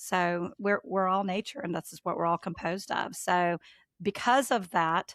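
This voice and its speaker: A woman with a Southern US accent, medium pitch, moderate pace and fairly even intonation, in a dry, close sound with no echo on a very clean recording with a silent background. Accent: Southern US (Georgia). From US South, Georgia. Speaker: trader and market analyst. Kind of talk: podcast interview.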